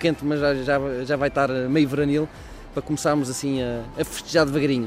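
A fairly high-pitched man keeps a moderate pace while noticeable background noise runs underneath. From Portugal, Coimbra.

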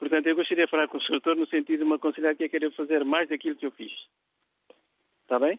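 Delivery is very fast and monotone with flat intonation, yet broken by long, frequent pauses. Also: man, fairly high pitch for a man. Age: 70s. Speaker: radio caller. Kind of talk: phone-in question. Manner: halting, repeats words.

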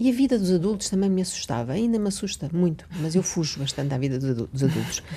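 The woman's voice has a dark, mellow tone and a medium pitch. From Mozambique. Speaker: writer and teacher. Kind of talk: interview. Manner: halting.

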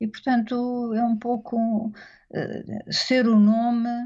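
A woman speaks in a somewhat breathy voice. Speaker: author. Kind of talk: interview.

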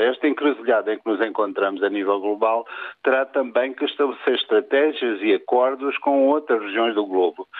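Speaking at a fairly quick pace, a man has a medium pitch and an unremarkable speaking voice. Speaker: sociology professor. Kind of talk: radio interview.

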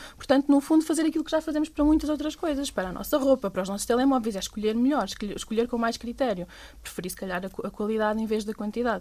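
Very fast speech from a woman with a high pitch and a dark, mellow tone, on a very clean recording with a silent background. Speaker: NGO fisheries coordinator. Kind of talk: casual chat.

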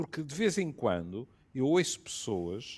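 This man talks at a very slow pace in a medium pitch. His pitch swings very widely. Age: 70s. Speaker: physician. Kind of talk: panel discussion.

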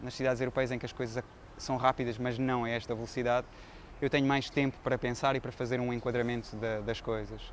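Flat and monotone, a man rattles along at a very fast pace and a medium pitch. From Portugal. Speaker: veterinarian and photographer. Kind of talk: interview.

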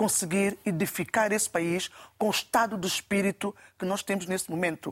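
A woman with an unremarkable speaking voice and a medium pitch is heard on a very clean recording with a silent background. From São Tomé and Príncipe. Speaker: parliamentary candidate. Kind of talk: televised political debate. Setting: TV studio.

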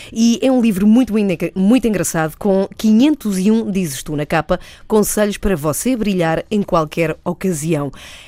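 Speaking fairly slowly, a woman uses lively intonation in an unremarkable speaking voice set at a medium pitch. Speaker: radio host. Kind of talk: radio interview.

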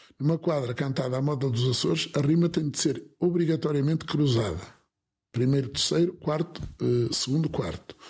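Somewhat breathy, a man with a fairly high pitch talks at a moderate pace, with ordinary pitch variation and very even loudness. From northern Portugal, Alto Minho. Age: 60s. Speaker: folk improvisational singer and concertina player. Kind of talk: interview. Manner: halting, with repetitions.

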